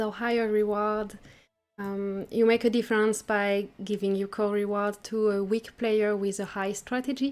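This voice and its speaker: A woman with a French accent, fairly high pitch and a fairly slow pace. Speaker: gaming streamer. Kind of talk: casual interview chat. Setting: livestream.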